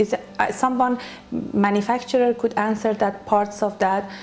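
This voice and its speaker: Through noticeable background noise, a woman speaks at a moderate pace and medium pitch. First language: not English. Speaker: beauty salon owner. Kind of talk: interview. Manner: halting.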